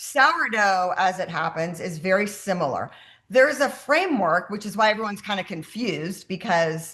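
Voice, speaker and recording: A woman's bright, sharp voice at medium pitch, fairly quick and lively in intonation, with hardly any pauses. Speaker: health coach running a sourdough workshop. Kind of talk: online workshop. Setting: video call. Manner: fast.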